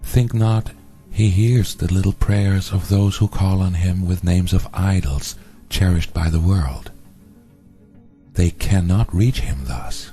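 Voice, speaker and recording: Music plays behind a man with a very deep, low pitch. He talks at a very slow pace. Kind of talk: spiritual text reading.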